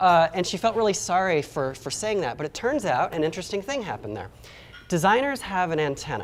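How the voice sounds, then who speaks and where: Very fast speech comes from a man with a high pitch. His pitch swings very widely. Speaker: product designer giving a conference talk. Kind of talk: conference talk.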